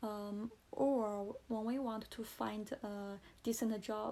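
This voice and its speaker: A woman speaks with a Chinese accent. Her pitch is fairly high and her tone dark and mellow. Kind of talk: casual talk to camera. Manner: slow, hesitant.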